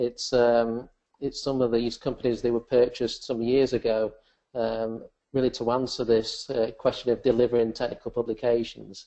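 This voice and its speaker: Speaking at a moderate pace with an English accent, a man keeps a medium pitch and a monotone, flat intonation. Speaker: software presenter. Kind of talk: webinar software demonstration. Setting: webcast.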